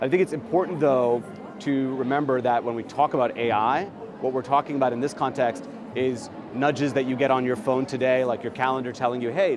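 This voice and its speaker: A man with a New York accent talks at a fairly quick pace and a medium pitch. Music plays in the background. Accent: New York American. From New York, USA. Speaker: HR technology strategy executive. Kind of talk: interview answer. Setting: trade show floor.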